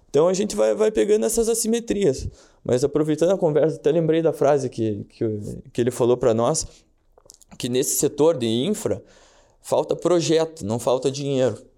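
This voice has a dark, mellow tone and very wide pitch swings at a moderate pace, broken by long, frequent pauses. The recording is very clean, with a silent background. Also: man, fairly high pitch for a man. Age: 20s. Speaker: financial market investor and law student. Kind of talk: casual chat.

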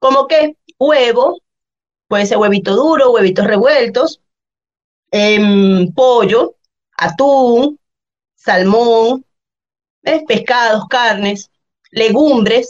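The speech moves at a very slow pace with long, frequent pauses. Loudness stays very even, and pitch variation is ordinary. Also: woman, fairly high pitch for a woman. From Venezuela, Valencia (Guacara), central region. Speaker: personal trainer. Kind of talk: casual chat.

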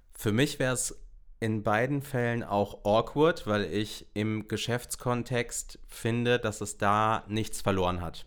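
Very slow, medium-pitched male speech with ordinary pitch variation. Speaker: podcast host, bank employee. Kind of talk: casual chat.

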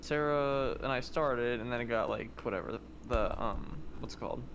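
A man speaks at a moderate pace, his voice carrying audible room echo. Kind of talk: casual chat. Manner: loud.

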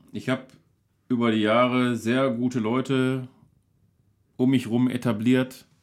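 A man speaks at a fairly slow pace in a monotone, flat intonation. Long pauses come often. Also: medium pitch for a man. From Duisburg, Ruhr area, Germany. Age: 40s. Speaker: local celebrity, entertainer. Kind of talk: casual chat over beers. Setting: home cellar studio.

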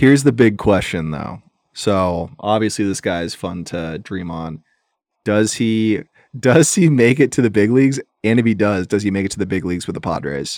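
On a very clean recording with a silent background, a man with a plain, everyday voice speaks at a moderate pace, fairly low in pitch and lively in intonation. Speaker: sports podcast host. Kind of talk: casual chat.

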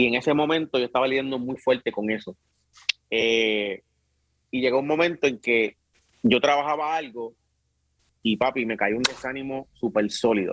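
A man with a medium-pitched voice and ordinary pitch variation speaks at a moderate pace with long, frequent pauses, recorded with a dry, close sound and no echo. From Puerto Rico, Carolina and Bayamón. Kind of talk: casual interview.

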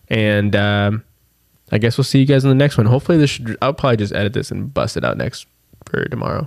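Pitch varies in an ordinary way as the words come out very fast. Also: man, medium pitch for a man. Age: 20s. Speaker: overlanding podcast host. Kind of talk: casual chat. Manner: animated.

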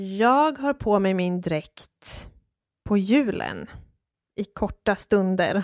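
A woman speaks very slowly at a medium pitch with lively intonation. The recording is very clean with a silent background, and the sound is dry and close with no echo. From Dalarna, Sweden (Hedemora). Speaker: podcast co-host on folk costume. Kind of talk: casual chat.

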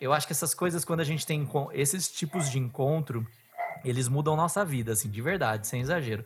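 This man has an unremarkable speaking voice with a fairly high pitch. He talks at a fairly quick pace with ordinary pitch variation. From Bauru, São Paulo state, Brazil. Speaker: podcast host, former TV journalist. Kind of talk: casual interview chat; scripted narration.

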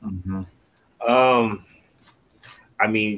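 This man has an ordinary speaking voice, medium in pitch with fairly even intonation. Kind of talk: casual chat. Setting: video call.

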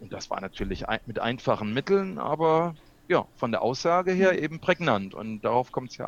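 A man talks at a fairly quick pace with very wide pitch swings. His loudness also rises and falls sharply. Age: 60s. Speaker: videographer and video coach. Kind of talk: interview. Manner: hesitant, many fillers.

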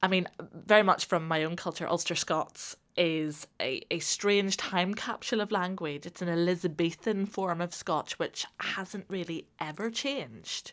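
A woman with a Northern Irish accent speaks at a fairly slow pace, with hardly any pauses. Her voice is fairly low, with ordinary pitch variation, on a very clean recording with a silent background. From Northern Ireland. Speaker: podcast host. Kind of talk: interview.

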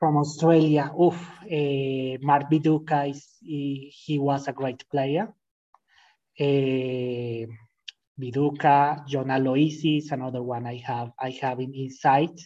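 In a Spanish accent, a man with a fairly high pitch and a dark, mellow tone speaks very slowly with fairly even intonation. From Colombia, Boyacá. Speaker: language learner guest. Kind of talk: casual interview chat. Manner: halting.

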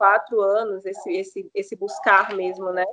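With a dry, close sound and no echo, a woman speaks in an unremarkable speaking voice at a moderate pace with ordinary pitch variation. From Maranhão, Brazil. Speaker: doula and holistic health entrepreneur. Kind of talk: podcast interview.

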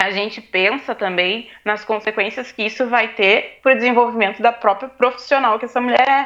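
A woman talks at a moderate pace with fairly even intonation. Her voice is fairly high, with a bright, sharp tone. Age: 20s. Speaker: student and activist. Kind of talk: casual interview chat.

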